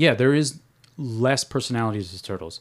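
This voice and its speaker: Recorded very cleanly against a silent background, a man with a New York accent talks at a moderate pace, at medium pitch with ordinary pitch variation. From New York City. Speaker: podcast host. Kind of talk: casual chat.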